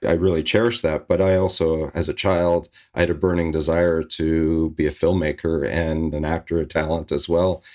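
In a western Canadian accent, a man speaks at a moderate pace with a very deep, low pitch and monotone, flat intonation. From Canada, Victoria, British Columbia. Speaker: former air force demonstration pilot and filmmaker. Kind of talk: interview. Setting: video call.

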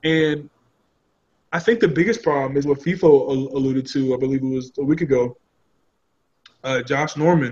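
A man with an American accent talks at a moderate pace in a fairly high, somewhat breathy voice, leaving long, frequent pauses. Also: ordinary pitch variation. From Philadelphia. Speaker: sports podcast panelist. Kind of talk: casual sports talk show.

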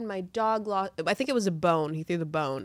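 Over a silent background in a very clean recording, a woman with an American accent uses a plain, everyday voice at a moderate pace with ordinary pitch variation. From US South, Atlanta suburbs. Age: 20s. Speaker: podcast co-host. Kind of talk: casual chat.

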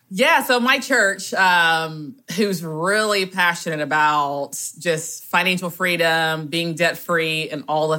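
A woman with a Southern US accent, a fairly low pitch and a fairly slow pace. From US South, rural south Georgia. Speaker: guest sharing debt story. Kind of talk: testimony.

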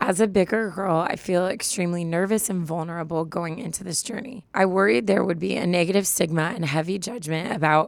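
A woman with a hoarse, husky voice talks at a fairly quick pace amid noticeable background noise. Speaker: advice podcast co-host. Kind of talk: casual chat. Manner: animated.

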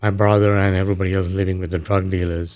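A man's fairly low voice with a Tamil accent and monotone, flat intonation. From Sri Lanka. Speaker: author and former refugee. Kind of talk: radio interview. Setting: radio studio.

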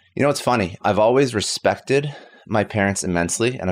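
Very fast and with lively intonation, a man speaks. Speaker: entrepreneur and podcaster. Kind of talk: casual interview conversation.

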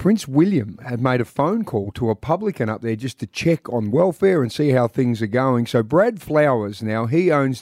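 A man at medium pitch talks with lively intonation and hardly any pauses. The recording is very clean, silent in the background, and dry and close with no echo. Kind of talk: radio breakfast-show banter, joking with co-host. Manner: quick-witted, cheeky, teasing, animated.

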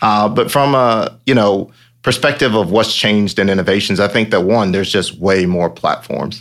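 An ordinary speaking voice, fairly low in pitch, belongs to a man with an American accent who talks at a moderate pace with ordinary pitch variation. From Georgia, US South. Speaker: campaign manager. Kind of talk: casual chat.

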